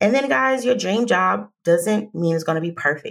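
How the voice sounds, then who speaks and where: A woman's lively intonation with vocal fry. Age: 30s. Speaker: career coach and podcast host. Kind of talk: casual solo podcast monologue. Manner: conversational, chatty.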